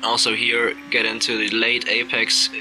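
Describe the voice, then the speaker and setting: A man with a slight non-native accent, over noticeable background noise. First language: not English. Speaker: sim racing driver. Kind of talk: race commentary over gameplay. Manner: animated.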